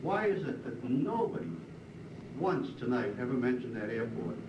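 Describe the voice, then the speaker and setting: A man with an American accent, lively intonation and a moderate pace, amid audible room echo and noticeable background noise. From Boston area. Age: 60s. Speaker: resident speaking at public hearing. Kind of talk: public comment at hearing.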